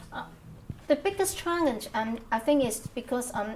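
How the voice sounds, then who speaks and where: A woman is speaking. She talks with a Hong Kong accent. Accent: Hong Kong Cantonese. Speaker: Cantonese language teacher. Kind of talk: oral history interview answer. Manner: hesitant, many fillers.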